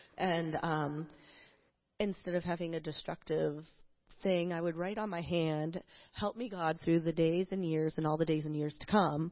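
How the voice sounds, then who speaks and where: Speaking with an American accent, a woman uses a plain, everyday voice at a fairly low pitch. Her intonation is fairly even and her pace moderate. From New Jersey, US. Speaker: church member. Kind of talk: testimony. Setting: church stage.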